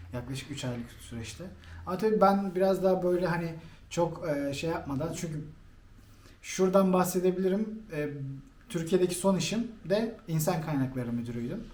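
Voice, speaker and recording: High-pitched male speech at a moderate pace, with ordinary pitch variation and audible room echo. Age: 30s. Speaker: guest on channel's interview show, former HR manager. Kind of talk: interview. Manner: halting, many fillers.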